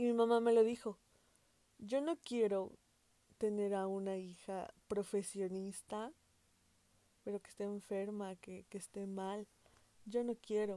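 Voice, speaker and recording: A woman talks at a fairly slow pace in a dark, mellow tone at medium pitch, her intonation fairly even. Her loudness swings widely, and she leaves long, frequent pauses. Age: 20s. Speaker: podcast host. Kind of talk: casual monologue.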